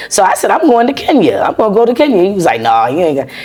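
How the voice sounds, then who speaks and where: Noticeable background noise behind a speaking woman. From US South, Charleston, South Carolina. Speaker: US veteran. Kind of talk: interview.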